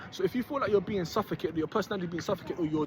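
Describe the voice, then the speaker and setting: A man talks loudly in an animated tone. Noticeable background noise sits behind him. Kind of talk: motivational monologue.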